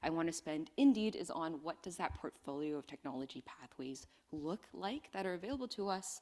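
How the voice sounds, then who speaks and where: Using a normal speaking voice, a woman with a Canadian accent talks at a moderate pace with lively intonation. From Western Canada. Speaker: energy industry speaker. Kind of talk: conference presentation. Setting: conference stage with microphone. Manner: casual, conversational.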